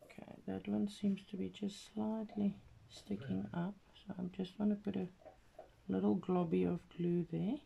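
A woman with a non-native accent talks at a fairly slow pace over light background noise. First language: not English. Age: 40s. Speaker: craft vlogger. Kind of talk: casual craft tutorial video. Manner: halting, with fillers. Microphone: phone near.

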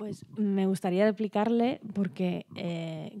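The woman's voice has a dark, mellow tone. Behind her, the background is quiet. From Europe, not Spain. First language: not Spanish (speaking Spanish). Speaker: performing arts professional, panelist; panelist. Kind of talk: round-table discussion. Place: stage. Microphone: handheld.

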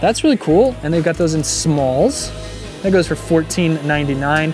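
Speech moves at a moderate pace with a dry sound with no echo. Clear music plays in the background. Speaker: shopping vlogger. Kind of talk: casual vlog commentary. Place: shop. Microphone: phone near.

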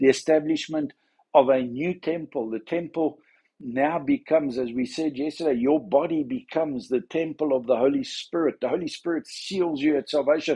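Against quiet surroundings, a man speaks with a dark, mellow tone. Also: ordinary pitch variation, moderate pace. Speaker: church minister. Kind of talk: devotional talk. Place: home room. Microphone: phone near.

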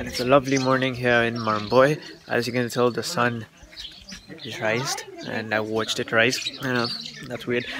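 Loud background noise surrounds a man speaking at a moderate pace, with a dry sound and no echo. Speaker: travel vlogger. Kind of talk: casual vlog chat. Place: open country. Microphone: phone near.

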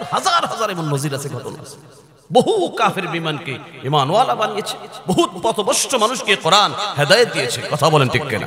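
A man with a high voice speaks with very wide pitch swings and big swings in loudness. Light background noise can be heard. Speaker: Islamic preacher. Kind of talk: sermon. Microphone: handheld.

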